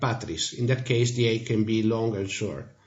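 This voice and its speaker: This man speaks with an Italian accent and a somewhat breathy voice. Room echo can be heard. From Italy. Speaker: language teacher. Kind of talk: tutorial.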